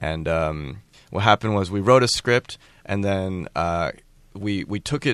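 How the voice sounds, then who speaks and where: A man with an American accent, a very deep, low pitch and lively intonation. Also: quiet background. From Maryland, US. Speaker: animation creator. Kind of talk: casual interview.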